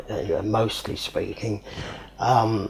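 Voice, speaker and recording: With a southern English accent, a man speaks at a very slow pace against noticeable background noise. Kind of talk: interview answer. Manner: hesitant.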